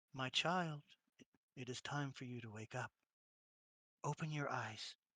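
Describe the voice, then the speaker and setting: A soft-spoken, raspy put-on character voice at a moderate pace. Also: man, medium pitch for a man. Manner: gentle, calm.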